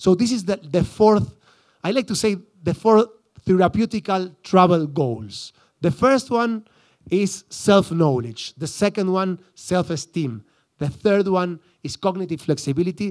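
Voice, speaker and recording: Against a very clean recording with a silent background, a man with an Argentine accent speaks at a fairly slow pace in a high pitch with lively intonation, the sound dry and close with no echo. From Argentina, Buenos Aires suburbs. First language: Spanish. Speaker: psychologist. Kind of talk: conference talk. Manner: halting, many restarts.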